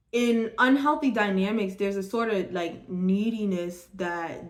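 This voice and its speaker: The speech is very slow, with ordinary pitch variation and audible room echo. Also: woman. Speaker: tarot card reader. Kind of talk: tarot reading monologue. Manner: stumbling over words.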